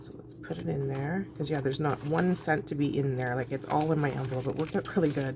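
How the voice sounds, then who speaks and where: The speech runs at a very fast pace with hardly any pauses. Noticeable background noise sits behind it. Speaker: budgeting vlogger. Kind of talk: casual talk-through while cash stuffing. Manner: quiet, trying not to make noise.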